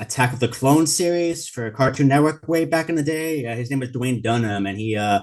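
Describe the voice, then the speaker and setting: A man talks at a fairly quick pace with hardly any pauses. His medium pitch shows ordinary variation against a quiet background. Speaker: YouTube video creator. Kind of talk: interview. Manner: rambling and frenetic.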